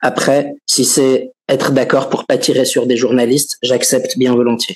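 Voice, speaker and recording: A man with a plain, everyday voice at a fairly slow pace. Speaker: journalist, webmaster. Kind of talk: interview. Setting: video call from office.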